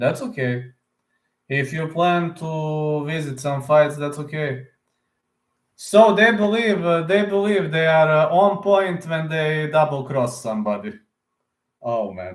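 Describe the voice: Delivery is at a slow pace with ordinary pitch variation. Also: man, fairly high pitch for a man.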